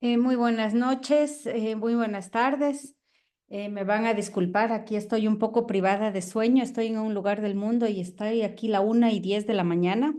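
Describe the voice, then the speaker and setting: A woman with an Ecuadorian accent, fairly high in pitch, dark and mellow in tone, at a moderate pace with fairly even intonation. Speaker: professor, biologist and environmental activist. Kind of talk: online lecture.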